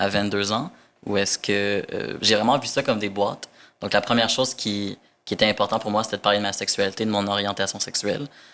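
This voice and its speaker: A man's fairly low-pitched voice, bright and sharp in tone, with fairly even intonation and a fairly quick pace. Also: very clean recording, silent background. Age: 20s. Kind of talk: casual interview chat. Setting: podcast recording.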